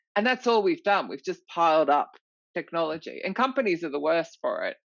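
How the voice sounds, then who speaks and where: The delivery has lively intonation and an animated tone at a moderate pace. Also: woman. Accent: Australian. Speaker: recruitment author and consultant. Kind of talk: podcast interview.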